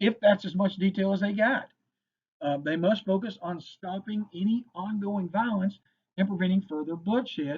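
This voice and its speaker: Speaking at a moderate pace with a Kentucky accent, a man uses a high pitch and ordinary pitch variation. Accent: Kentucky Southern US. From Western Kentucky. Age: 50s. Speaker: firearms instructor. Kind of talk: lecture. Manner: casual, filler-heavy.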